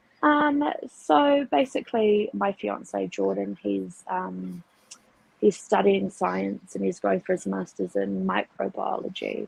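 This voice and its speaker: A woman speaks with a New Zealand accent at a very slow pace. The sound is dry and close, with no echo. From New Zealand, Auckland. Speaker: atheist guest. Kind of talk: casual conversational interview.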